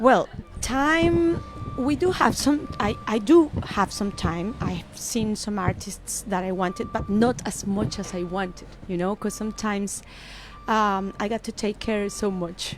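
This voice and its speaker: A woman at medium pitch in a Spanish accent, fairly slow and lively in intonation, with music in the background. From Colombia. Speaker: musician. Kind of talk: interview. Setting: radio studio.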